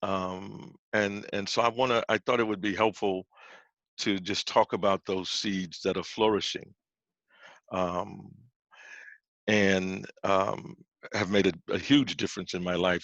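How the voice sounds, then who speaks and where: A man with an American accent, very deep and low in pitch, at a fairly slow pace with fairly even intonation, in a dry, close recording with no echo and a quiet background. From New Orleans, Louisiana. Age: 60s. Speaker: pastor and author. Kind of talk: presentation talk. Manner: halting, many false starts.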